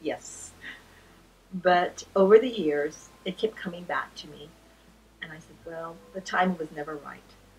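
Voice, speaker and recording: Against noticeable background noise, a woman talks at a fairly slow pace, her fairly low pitch varying in an ordinary way. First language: not English. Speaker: retired teacher and author. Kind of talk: interview testimony. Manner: halting.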